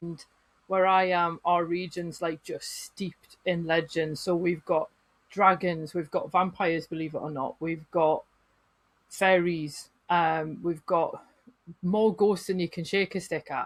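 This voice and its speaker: A woman with a northern English accent at a fairly low pitch, monotone and flat in intonation, fairly slow in pace. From northern England. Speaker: folklorist and writer. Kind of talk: podcast interview.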